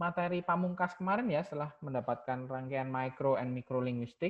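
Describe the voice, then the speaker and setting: A man talks at a moderate pace with a Javanese accent. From Java, Indonesia. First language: Javanese (speaking Indonesian). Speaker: university lecturer. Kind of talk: lecture. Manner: code-switching Indonesian and English.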